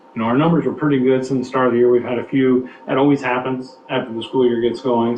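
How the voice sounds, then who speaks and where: A man with an American accent talks at a medium pitch over noticeable background noise. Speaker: school administrator presenting budget. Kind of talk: board meeting presentation. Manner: fast; halting, many fillers and restarts.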